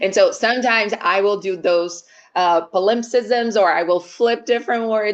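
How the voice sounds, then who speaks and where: This woman talks with a fairly high pitch. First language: Portuguese. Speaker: company executive, guest speaker. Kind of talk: webinar conversation.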